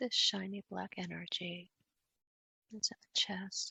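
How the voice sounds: A woman speaks slowly at a medium pitch, her tone bright and sharp with a husky, rough edge and vocal fry. The sound is dry and close, with no echo.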